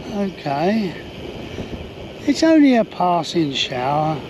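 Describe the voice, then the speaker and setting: Against noticeable background noise, a man speaks at a very slow pace. His intonation is lively, with long, frequent pauses. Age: 70s. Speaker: touring cyclist vlogger. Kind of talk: casual vlog narration. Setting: outdoors on a trike.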